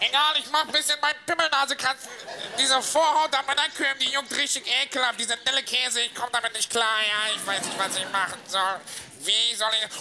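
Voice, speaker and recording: Putting on a whiny character voice, a man speaks at a fairly quick pace in an extremely high pitch, his tone whiny throughout, over clear background noise. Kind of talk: comic overacting. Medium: comedy sketch. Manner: whiny, crude.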